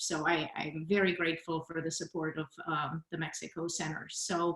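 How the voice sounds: A woman's fairly bright tone, low pitch for a woman and little pitch movement, with audible room echo. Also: moderate pace.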